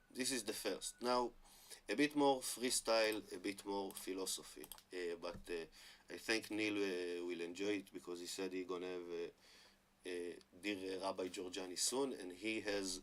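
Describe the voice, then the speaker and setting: With an Israeli accent, a man speaks at a moderate pace in a fairly low pitch. His pitch varies in an ordinary way, while his loudness swings widely. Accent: Hebrew-accented English. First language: Hebrew. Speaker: online commentator on Hebrew and religion. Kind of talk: monologue talk to camera. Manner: halting with many fillers.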